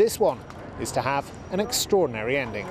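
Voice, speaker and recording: A man talks at a fairly quick pace while noticeable noise sits in the background. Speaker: TV news reporter. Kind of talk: TV news report.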